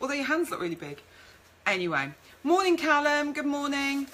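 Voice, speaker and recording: Over noticeable background noise, a woman with a Birmingham accent speaks with very wide pitch swings. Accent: Birmingham (Brummie) English. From Birmingham, England. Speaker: food marketing business owner. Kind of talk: live-stream presentation. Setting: Facebook live video stream. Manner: chatty, informal.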